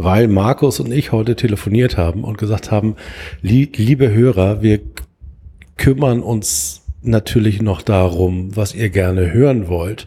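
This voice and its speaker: Fairly low, somewhat breathy male voice with a dark, mellow tone, lively intonation, and a fairly slow pace. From Hamburg, Germany. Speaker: football podcast host. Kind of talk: casual chat.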